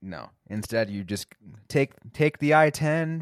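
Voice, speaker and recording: Lively intonation marks a man's unremarkable speaking voice at a fairly slow pace. The recording is very clean, with a silent background. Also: dry, close sound with no echo. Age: 20s. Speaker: hockey podcast host. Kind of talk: casual chat. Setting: studio.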